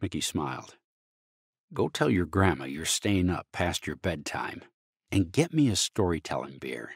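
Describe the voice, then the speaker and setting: In a very clean recording with a silent background and a dry, close sound with no echo, a man speaks at a moderate pace in a very deep, low pitch, with vocal fry and lively intonation. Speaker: war veteran; voice actor. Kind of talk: short story reading.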